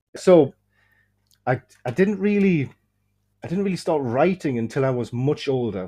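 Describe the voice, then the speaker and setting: Lively intonation marks this voice with an English accent, heard against a quiet background. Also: man. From England, German-speaking early childhood. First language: German. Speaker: horror fiction author. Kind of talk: casual interview chat. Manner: halting, many fillers.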